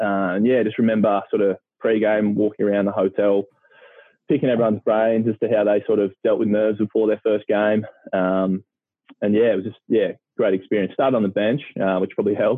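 A man with an Australian accent, fairly low in pitch, at a fairly quick pace, monotone and flat, with very even loudness. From country Victoria, Australia. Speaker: retired professional footballer. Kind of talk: casual chat.

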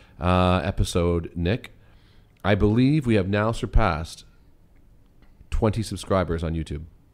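In a plain, everyday voice, a man talks at a moderate pace with ordinary pitch variation, on a very clean recording with a silent background. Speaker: podcast co-host; runs a summer camp. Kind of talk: casual conversational podcast chat.

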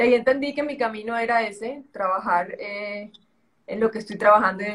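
Speaking at a moderate pace with ordinary pitch variation, a woman has a strong Colombian coastal accent. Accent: strong Colombian coastal (costeño). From Colombia, Caribbean coast (Santa Marta). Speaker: entrepreneur and model. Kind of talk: interview conversation.

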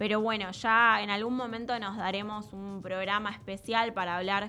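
A woman speaks with a Rioplatense accent. Her pitch sits in the medium range. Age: 20s. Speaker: radio host, environmental agency staffer. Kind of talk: radio interview and presentation. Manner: halting, with frequent fillers and repetitions.

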